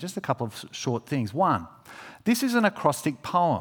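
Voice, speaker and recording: A man with an Australian accent speaks at a moderate pace, his pitch swinging very widely. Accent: Australian, fairly broad. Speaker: preacher. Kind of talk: sermon. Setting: church. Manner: informal, warm, halting with fillers.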